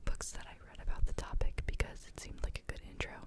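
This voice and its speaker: Very fast whispering over noticeable background noise. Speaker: ASMR creator and book reader. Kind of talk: casual intro to camera, chatty. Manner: whispered, relaxing.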